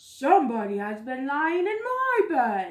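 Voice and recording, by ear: In a put-on character voice, the speaker talks at a fairly slow pace with a high pitch and very wide pitch swings.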